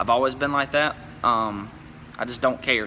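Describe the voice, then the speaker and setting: A man talks at a fairly quick pace with an American accent. His medium-pitched voice keeps a fairly even intonation. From Louisiana, US South. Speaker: YouTuber, truck enthusiast. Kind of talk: casual vlog monologue. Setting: in his shop. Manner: rambling, quick with filler words.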